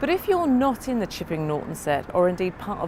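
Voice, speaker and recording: Amid noticeable background noise, a woman speaks at a fairly high pitch. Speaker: TV presenter. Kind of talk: TV report to camera.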